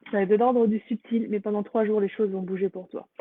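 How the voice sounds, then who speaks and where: A woman speaks very fast at a medium pitch, her intonation flat and monotone. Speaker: energy healer. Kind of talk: live stream introduction to guided healing meditation. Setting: live stream on social media. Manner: casual with frequent hesitations; soft-spoken during healing.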